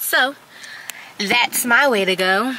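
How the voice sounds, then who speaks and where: The recording of a woman has a dry sound with no echo and light background noise, and her pitch variation is ordinary. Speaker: travel vlogger. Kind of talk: casual vlog chat. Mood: relaxed, chatty. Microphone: phone near.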